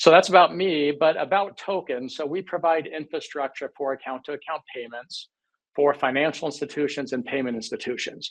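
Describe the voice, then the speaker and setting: Using a normal speaking voice with an American accent, a man talks at a fairly quick pace with a fairly high pitch and ordinary pitch variation, in a dry, close sound with no echo. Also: big swings in loudness. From United States. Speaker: fintech company CEO. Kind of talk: webinar panel discussion. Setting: online webinar.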